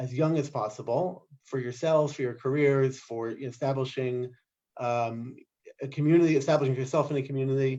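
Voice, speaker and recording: A man with a New Jersey accent speaks at a moderate pace in a fairly high pitch, with a dark, mellow tone and ordinary pitch variation. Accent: New Jersey American. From US Northeast, New Jersey. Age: 40s. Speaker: scribe and immigrant. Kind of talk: interview.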